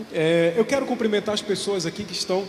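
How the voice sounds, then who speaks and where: The pitch moves in an ordinary way. There is audible room echo and noticeable background noise. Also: man. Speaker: parish livestream host. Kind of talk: live church broadcast, reading comments.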